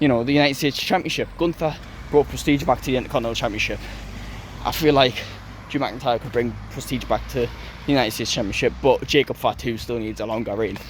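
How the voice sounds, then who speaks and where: A man talks at a very fast pace. Noticeable background noise runs under him. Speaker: wrestling commentary youtuber. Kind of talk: casual solo review.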